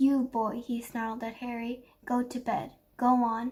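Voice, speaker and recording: A woman's put-on character voice, growling and high-pitched, at a moderate pace with monotone, flat intonation. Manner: snarling; angry.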